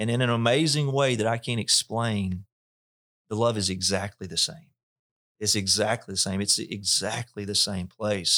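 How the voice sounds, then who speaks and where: Speaking with a Mississippi accent, a man has a fairly low pitch and a bright, sharp tone. He keeps a moderate pace, and his pitch varies in an ordinary way. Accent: Southern US (Mississippi). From US South, north Mississippi. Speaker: pastor. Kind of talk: interview testimony. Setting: church facility.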